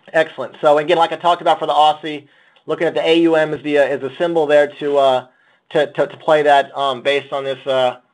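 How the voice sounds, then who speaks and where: A man talks at a very fast pace with a fairly high pitch. His intonation is monotone and flat. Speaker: options trader. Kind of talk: webinar presentation. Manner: repetitive filler-heavy.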